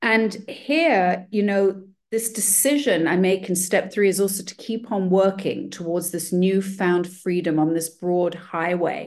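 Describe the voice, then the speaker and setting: Speaking with an unremarkable speaking voice, this person moves at a fairly slow pace with ordinary pitch variation and hardly any pauses. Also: woman, medium pitch for a woman. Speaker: meeting participant. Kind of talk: personal share. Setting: video call.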